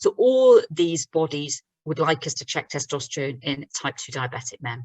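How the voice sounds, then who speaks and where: This is a woman with a British accent. Her pitch is fairly low. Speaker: doctor giving a webinar talk. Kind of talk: lecture. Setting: online webinar. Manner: fast.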